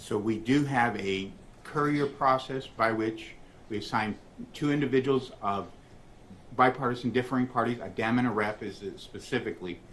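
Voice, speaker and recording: A man speaks at medium pitch with fairly even intonation. Audible room echo is present. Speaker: election official testifying as witness. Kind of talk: court testimony. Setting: courtroom. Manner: fast.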